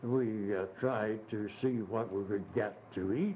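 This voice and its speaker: A man's fairly low voice at a very slow pace, with audible room echo and noticeable background noise. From Ireland. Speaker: retired missionary. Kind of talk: oral history interview. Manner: animated; halting. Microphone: old cassette recording, tape crackle.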